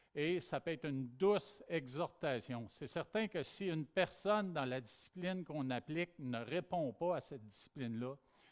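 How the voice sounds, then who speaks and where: A man with a Quebec accent speaks at a moderate pace and fairly high pitch, with lively intonation and hardly any pauses. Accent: Québécois French. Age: 60s. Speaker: pastor. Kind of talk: sermon.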